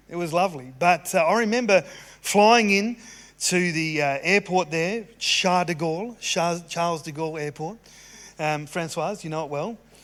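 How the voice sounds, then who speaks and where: With an Australian accent, a man talks at a high pitch. His pitch varies normally and his pace is moderate. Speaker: pastor. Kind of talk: sermon. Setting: church service, live.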